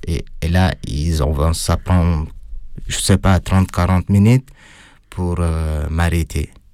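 With a non-native accent, a man speaks very slowly in a very deep, low pitch and a dark, mellow tone, keeping fairly even intonation and taking long, frequent pauses. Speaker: former prisoner. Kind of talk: testimony. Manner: halting.

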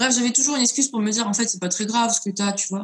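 Her intonation is fairly even. This woman's pitch is fairly high. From France, Lyon. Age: 20s. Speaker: singer-songwriter. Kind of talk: interview.

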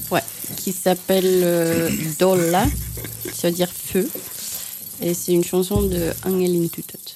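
Over noticeable background noise, a woman with a fairly low pitch speaks at a fairly slow pace in a monotone, flat delivery with long, frequent pauses. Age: 30s. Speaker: artist and dancer. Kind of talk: radio interview.

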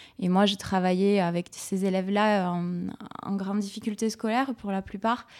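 A woman's flat, monotone delivery at a fairly slow pace, on a very clean recording with a silent background. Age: 30s. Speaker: schoolteacher. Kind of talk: radio panel discussion.

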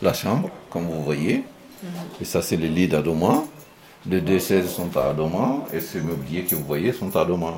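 Very deep, low male voice with ordinary pitch variation, a fairly slow pace and long, frequent pauses, amid noticeable background noise and audible room echo. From Mali. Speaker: migrant worker, residents' delegate. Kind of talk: interview. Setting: in his hostel room.

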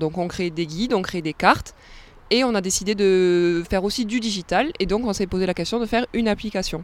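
A woman talks at a fairly quick pace in a plain, everyday voice. Her pitch sits in the medium range with ordinary variation. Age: 20s. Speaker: tourism officer. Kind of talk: radio interview. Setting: outdoors by a canal lock.

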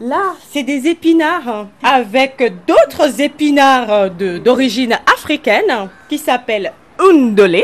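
A woman with a high pitch speaks at a very slow pace, her voice making very wide pitch swings. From Benin. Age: 30s. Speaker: community cook. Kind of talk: interview.

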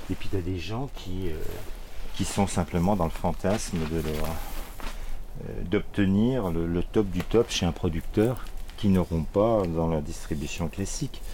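Audible room echo surrounds a man speaking at a very slow pace. His very deep, low pitch carries a dark, mellow tone. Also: ordinary pitch variation. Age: 60s. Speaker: organic market gardener. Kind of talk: casual interview. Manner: halting.

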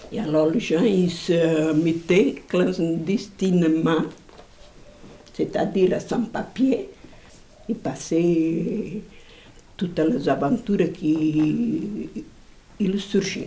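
Long pauses come often as the words arrive very slowly. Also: woman, fairly low pitch for a woman, ordinary pitch variation. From Portugal. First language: Portuguese (speaking French). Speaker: immigrant. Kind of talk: testimony.

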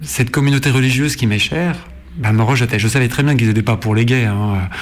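A man speaks at a fairly quick pace and a medium pitch, with ordinary pitch variation. Noticeable background noise can be heard. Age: 40s. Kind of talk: interview.

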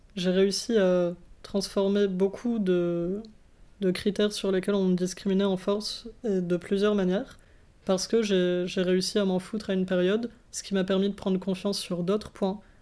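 Speaking at a moderate pace, a woman has a dark, mellow tone and monotone, flat intonation. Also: medium pitch for a woman. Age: 20s. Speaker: student. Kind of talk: interview.

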